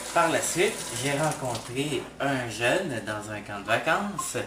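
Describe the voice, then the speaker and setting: With a Quebec accent, a man talks very slowly with lively intonation, over noticeable background noise and audible room echo. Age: 20s. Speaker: university student. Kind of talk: testimony.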